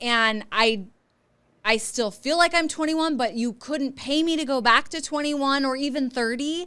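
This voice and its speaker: Raising and projecting her voice, a woman speaks at a moderate pace with a high pitch, an animated tone, a bright, sharp quality and ordinary pitch variation. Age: 40s. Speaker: podcast host and divorce lawyer. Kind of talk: interview conversation.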